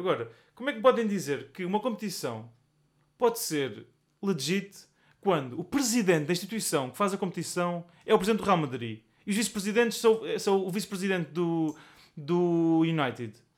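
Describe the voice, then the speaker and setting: Here a man speaks in a high pitch with very wide pitch swings. His pace is fairly quick. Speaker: podcast co-host. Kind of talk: casual chat.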